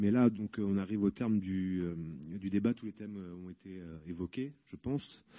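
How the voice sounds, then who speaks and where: Using an ordinary speaking voice, a man talks at a fairly low pitch and moderate pace with ordinary pitch variation, big swings in loudness and hardly any pauses. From Paris. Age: 30s. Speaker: inmate debate participant. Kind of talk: debate questions. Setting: prison hall with audience.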